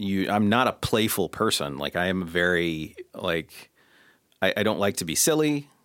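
This man has an ordinary speaking voice, fairly low in pitch. He speaks at a fairly slow pace with lively intonation. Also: very clean recording, silent background. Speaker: video director and producer, guest host. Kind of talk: casual chat.

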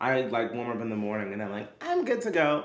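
Audible room echo hangs around this speaker. He is a man with an American accent. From Brooklyn, New York. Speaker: singer, actor and dancer. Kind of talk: casual chat.

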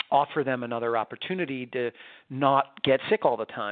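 In a plain, everyday voice, a man talks at a medium pitch and moderate pace with fairly even intonation and an American accent. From New York. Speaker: pediatrician. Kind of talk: interview.

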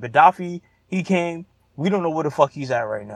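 A man's fairly high voice in a New York accent, dry and close with no echo. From Brooklyn, New York. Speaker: caller. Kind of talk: casual chat.

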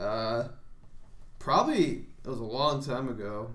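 A man with an American accent, with audible room echo. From Chicago area, Illinois. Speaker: freelance wrestler. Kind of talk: casual chat.

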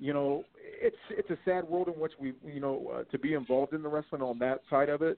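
With an ordinary speaking voice, a man talks at a fairly high pitch with hardly any pauses. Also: fairly quick pace. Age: 40s. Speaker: wrestling promoter. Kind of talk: casual chat.

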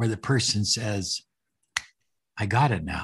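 Over a quiet background, a man speaks at a fairly slow pace in a somewhat breathy voice. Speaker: podcast host and life coach. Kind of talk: interview, casual chat.

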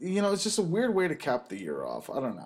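A man is talking. His pitch swings very widely. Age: 20s. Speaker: podcast host. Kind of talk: casual chat. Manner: halting.

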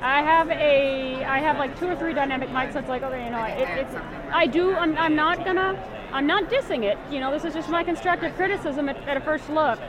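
With crowd noise in the background and audible room echo, a woman talks at a fairly quick pace in a high pitch with ordinary pitch variation. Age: 30s. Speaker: blind conference attendee vlogging. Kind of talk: casual chat while walking an exhibit hall. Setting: conference exhibit hall. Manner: halting.

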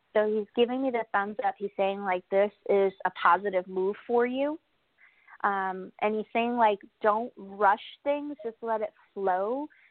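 With an American accent, a woman talks at a fairly slow pace in an unremarkable speaking voice, her fairly high pitch showing ordinary variation. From New York. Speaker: psychic medium. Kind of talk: casual chat. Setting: remote call-in.

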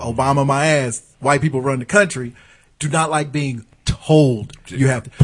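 A man's fairly high, somewhat breathy voice moves at a moderate pace with ordinary pitch variation. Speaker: podcast host. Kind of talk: casual banter, comedy podcast. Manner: animated, profane.

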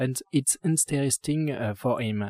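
A man with lively intonation at a very slow pace, dry and close with no echo, in a very clean recording with a silent background. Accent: French. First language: French. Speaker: urban gardener and landscape architect. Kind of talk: interview. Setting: rooftop garden. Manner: halting.

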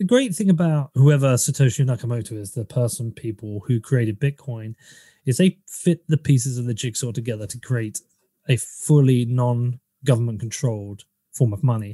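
Over a very clean recording with a silent background, a man speaks at a moderate pace in a dark, mellow, somewhat breathy medium-pitched voice, with ordinary pitch variation and a dry, close sound with no echo. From England, Bedford area. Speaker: podcaster and bitcoin commentator. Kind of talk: casual interview.

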